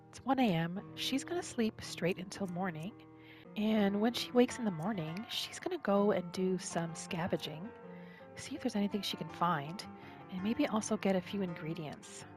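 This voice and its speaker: The voice has a calm, soothing tone and ordinary pitch variation. It moves at a moderate pace with music in the background. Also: woman. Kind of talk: ASMR gaming roleplay narration. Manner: calm, soothing, soft-spoken.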